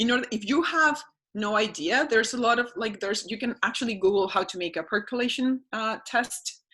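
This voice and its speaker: A woman speaks with a bright, sharp tone and a non-native accent. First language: not English. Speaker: environmental educator. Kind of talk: webinar presentation. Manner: halting.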